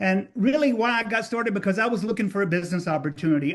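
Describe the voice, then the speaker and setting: A man talks at a very fast pace in a high voice. His pitch varies in an ordinary way. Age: 60s. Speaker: network marketing distributor. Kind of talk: testimony. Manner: animated.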